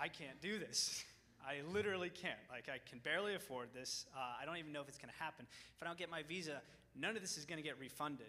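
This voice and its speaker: A bright, sharp tone comes across at a very fast pace with ordinary pitch variation. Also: man, fairly high pitch for a man. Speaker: college student. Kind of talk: testimony. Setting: church.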